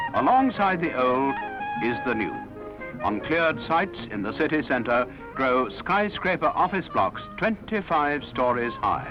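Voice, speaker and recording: Over music in the background, a man speaks at a fairly slow pace with a fairly high pitch and very wide pitch swings. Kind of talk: documentary newsreel narration.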